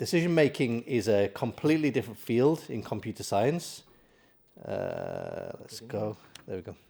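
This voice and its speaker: A man with a British accent speaks at a medium pitch, his dark, mellow tone carried by lively intonation. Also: big swings in loudness. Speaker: AI expert speaker. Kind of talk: conference talk. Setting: stage with audience. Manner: fast.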